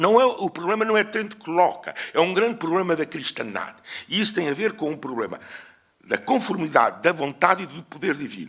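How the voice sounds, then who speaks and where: Speaking with a European Portuguese accent, a man uses a high pitch. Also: lively intonation. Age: 70s. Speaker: historian. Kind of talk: conference lecture. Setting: conference with audience. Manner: hesitant, with fillers.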